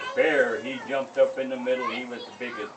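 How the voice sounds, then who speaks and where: A man with an American accent talks at a moderate pace as crowd noise carries in the background. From Northern California. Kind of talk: traditional oral storytelling at a ceremony. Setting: outdoors.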